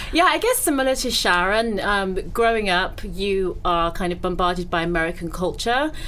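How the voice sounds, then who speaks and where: A woman talks in a medium pitch with lively intonation and hardly any pauses. Noticeable background noise and audible room echo are present. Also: moderate pace. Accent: British. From Britain. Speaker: entrepreneur. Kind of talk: casual chat.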